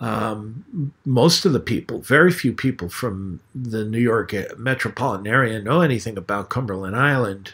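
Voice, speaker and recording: A man's medium-pitched voice in an American accent, with ordinary pitch variation and hardly any pauses, on a very clean recording over a silent background. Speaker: atheist YouTuber. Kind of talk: casual monologue. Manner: hesitant, many fillers.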